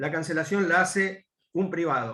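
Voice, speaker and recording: High in pitch, a man's voice carries a bright, sharp tone. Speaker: law panelist. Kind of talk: academic panel talk. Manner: fast; hesitant with fillers.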